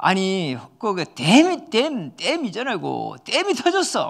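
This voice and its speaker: The recording is very clean with a silent background, and a man delivers his lines fairly slowly. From South Korea, Jinju area (Gyeongsang). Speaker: pastor. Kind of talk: sermon. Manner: animated.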